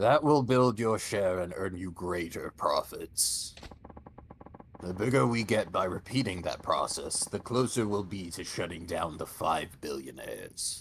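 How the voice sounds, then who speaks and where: In a put-on character voice, a man sounds gruff and gravelly at a medium pitch and a moderate pace. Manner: gruff, gravelly character voice.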